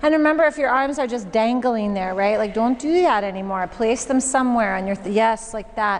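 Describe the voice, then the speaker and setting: With an American accent, a woman speaks at a moderate pace in a calm tone, her pitch varying in an ordinary way over noticeable background noise. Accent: Michigan accent, comes out occasionally. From Michigan, US. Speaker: yoga teacher. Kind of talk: guided yoga class instruction. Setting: yoga studio with class. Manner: calm, encouraging, rhythmic cueing.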